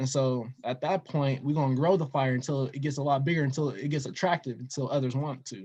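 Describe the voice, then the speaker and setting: With an American accent, a man speaks at a very fast pace with hardly any pauses, his dark, mellow tone somewhat breathy and his intonation fairly even. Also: fairly high pitch for a man. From Denver, Colorado. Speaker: investor and storytelling guest. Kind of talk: casual interview.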